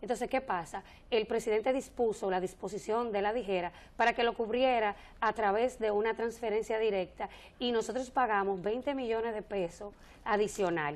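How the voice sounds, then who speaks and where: Her intonation fairly even, a woman speaks at a fairly high pitch. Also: moderate pace. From Dominican Republic, northwest (Montecristi); Dominican Republic. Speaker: government agency director; guest. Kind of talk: TV interview. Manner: halting, many repetitions and fillers. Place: studio. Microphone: lapel.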